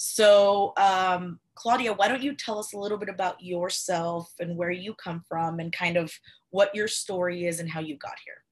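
A woman with a medium pitch talks at a moderate pace, showing ordinary pitch variation and big swings in loudness. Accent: Spanish. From Cuba. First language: Spanish. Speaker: podcast host. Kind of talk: interview.

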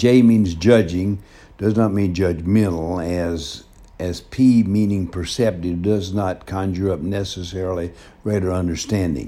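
Here a man speaks with a Southern US accent at a very deep, low pitch. His dark, mellow tone carries fairly even intonation at a fairly slow pace. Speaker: pastor. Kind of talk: casual monologue. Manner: halting.

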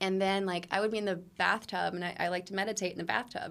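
A woman talks in an ordinary speaking voice, her pitch medium and her pitch variation ordinary. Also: very clean recording, silent background. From North Carolina. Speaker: influencer and actress. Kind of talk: casual interview chat.

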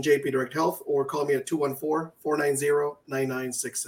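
A man with a fairly high pitch speaks in an American accent. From Michigan, Detroit area. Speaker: health insurance broker, co-host. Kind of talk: casual talk show.

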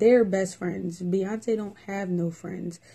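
A woman's somewhat breathy, dark, mellow voice at a medium pitch, with fairly even intonation and a moderate pace. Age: 20s. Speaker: podcast host. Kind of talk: casual chat.

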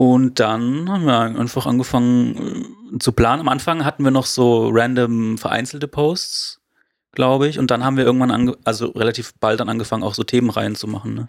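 A man talks in a normal speaking voice at a medium pitch. His pace is fairly quick and his intonation fairly even. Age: 20s. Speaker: graphic designer, church volunteer. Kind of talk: casual chat.

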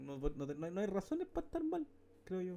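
Words come out rather briskly. Pitch jumps across a huge range. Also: man. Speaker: podcast co-host. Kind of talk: casual chat.

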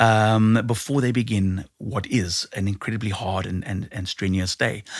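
A plain, everyday voice from a man at fairly low pitch, fairly even intonation and fairly slow pace, on a very clean recording with a silent background. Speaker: radio host. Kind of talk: interview.

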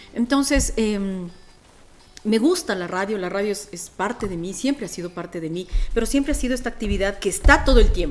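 A woman speaks fairly quickly in a fairly high, animated voice with lively intonation and big swings in loudness. Noticeable background noise sits behind her. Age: 40s. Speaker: radio host and voiceover artist. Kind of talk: casual podcast interview.

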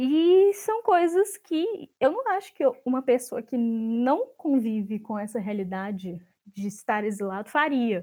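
At a fairly slow pace, a woman speaks in a high pitch with very wide swings and a dark, mellow tone. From Brazil (born in Chile, moved at six). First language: Spanish and Portuguese (bilingual) (speaking Portuguese). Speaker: literature researcher. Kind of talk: academic interview.

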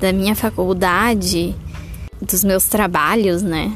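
With music in the background, a woman speaks very slowly in a monotone, flat intonation. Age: 20s. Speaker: mother podcaster. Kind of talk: casual monologue.

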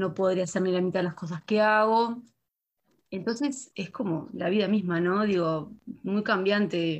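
A woman with a plain, everyday voice speaks at a moderate pace and medium pitch, with ordinary pitch variation over a quiet background. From Canelones, Uruguay. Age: 20s. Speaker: university student. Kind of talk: casual chat.

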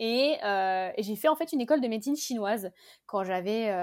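A woman speaks in a normal speaking voice at a medium pitch and a fairly slow pace. The recording is very clean, with a silent background. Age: 20s. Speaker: beauty brand founder. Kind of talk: casual interview.

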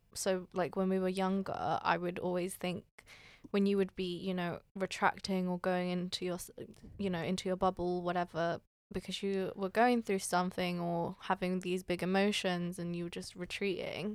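In a British accent, a woman at medium pitch speaks with monotone, flat intonation. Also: moderate pace. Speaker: podcast co-host. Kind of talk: casual chat.

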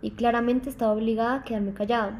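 In a somewhat breathy voice with a dark, mellow tone, a woman speaks at a fairly high pitch in a monotone, flat intonation. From Mexico (Mérida, Yucatán) then Colombia from about age 10. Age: 20s. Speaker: university student. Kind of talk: personal testimony interview.

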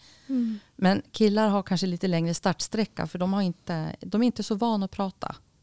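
A woman speaks at a medium pitch with a dark, mellow tone. The sound is dry and close with no echo, and the recording is very clean with a silent background. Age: 50s. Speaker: school and hospital counsellor. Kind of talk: interview.

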